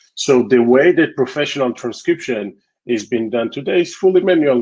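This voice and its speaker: A man at a fairly quick pace, ordinary pitch variation, dry and close with no echo. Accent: Israeli. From Israel. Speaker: tech company founder and CEO. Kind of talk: interview.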